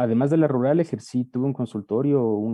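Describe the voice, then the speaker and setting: A man speaks at a medium pitch and a fairly quick pace, with ordinary pitch variation and a plain, everyday voice. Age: 30s. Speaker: medical student. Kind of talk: interview testimony.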